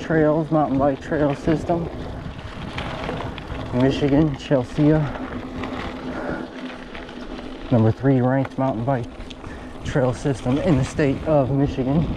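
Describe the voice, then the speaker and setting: A man speaks with fairly even intonation, very even loudness, and long, frequent pauses. Noticeable background noise sits behind him. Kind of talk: casual vlog commentary while riding. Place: forest. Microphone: camera far.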